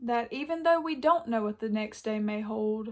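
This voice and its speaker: Her pitch varies in an ordinary way as this woman talks fairly slowly. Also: very clean recording, silent background. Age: 20s. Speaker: YouTuber, college student. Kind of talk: casual sit-down talk. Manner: occasional stumbling over words.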